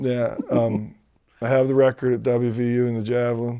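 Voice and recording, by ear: A man's medium-pitched voice, clear and smooth in tone, dark and mellow, with little pitch movement. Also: fairly quick pace.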